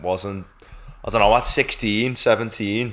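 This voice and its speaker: A man's fairly low voice with a Liverpool accent and fairly even intonation, amid noticeable background noise. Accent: Scouse (Liverpool). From Liverpool, Croxteth. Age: 20s. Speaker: podcast co-host, PhD student. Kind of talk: casual chat.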